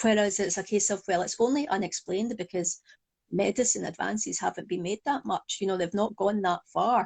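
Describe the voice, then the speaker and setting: In a Glaswegian accent, a woman speaks at a fairly quick pace in a medium pitch, somewhat breathy, against a quiet background. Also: ordinary pitch variation, dry, close sound with no echo. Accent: Glaswegian Scottish. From Scotland, Glasgow. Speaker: psychologist and hypnotherapist. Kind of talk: interview.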